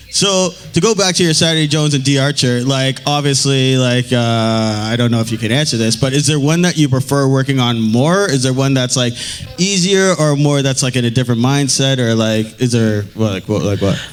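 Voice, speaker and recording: Through noticeable background noise, a man at a medium pitch talks at a fairly quick pace with very even loudness. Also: ordinary pitch variation. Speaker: talk show host and guitarist. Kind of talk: interview. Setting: stage with audience. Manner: mumbling.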